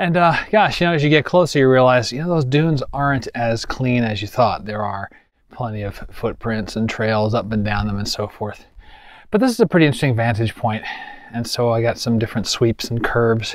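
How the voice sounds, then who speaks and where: A man talks at a fairly quick pace with ordinary pitch variation. The sound is dry with no echo, over a quiet background. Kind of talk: casual vlog chat. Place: open country. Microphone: phone near.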